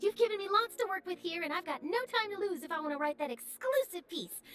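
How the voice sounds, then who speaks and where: Over background music, a woman rattles off a squeaky put-on character voice at an extremely high pitch and a very fast pace, the sound dry and close with no echo. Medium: video game. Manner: eager, chatty, inquisitive.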